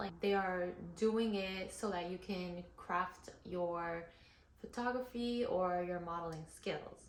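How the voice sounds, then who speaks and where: In a non-native accent, a woman of medium pitch speaks very slowly, with audible room echo and noticeable background noise. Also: ordinary pitch variation. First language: not English. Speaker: model and content creator. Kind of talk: tutorial. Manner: casual, many fillers.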